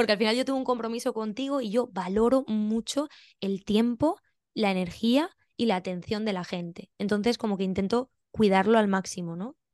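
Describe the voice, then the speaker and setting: A woman with an unremarkable speaking voice talks at a moderate pace with ordinary pitch variation over a quiet background. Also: fairly high pitch for a woman. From Spain, Valencia region (Benidorm). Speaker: pilates teacher and physiotherapist. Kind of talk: interview.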